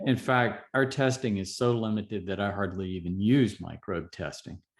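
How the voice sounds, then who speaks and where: A man with a fairly low pitch uses an ordinary speaking voice, speaking at a moderate pace with ordinary pitch variation. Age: 60s. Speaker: physician. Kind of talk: interview.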